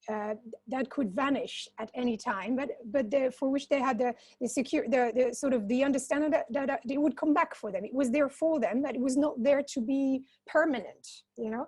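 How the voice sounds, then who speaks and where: Speaking at a fairly quick pace with a non-native accent, a woman has a high pitch and ordinary pitch variation. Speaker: social entrepreneur. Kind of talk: panel discussion. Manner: halting, many repetitions.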